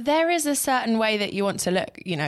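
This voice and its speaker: Fairly quick female speech with a British accent, on a very clean recording with a silent background. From Britain. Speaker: TV weather presenter. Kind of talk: interview.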